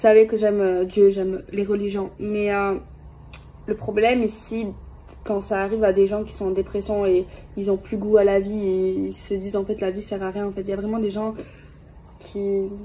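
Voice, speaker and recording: At a moderate pace, a woman speaks in a medium pitch with flat, monotone intonation and long, frequent pauses. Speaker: tarot card reader. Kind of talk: tarot reading video monologue. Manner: soft-spoken; hesitant, many fillers.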